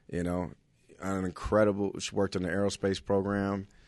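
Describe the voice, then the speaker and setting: Over a quiet background, a speaker with an American accent talks at a fairly quick pace in a monotone, flat intonation. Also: man. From Los Angeles, California. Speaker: stand-up comedian. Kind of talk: casual chat.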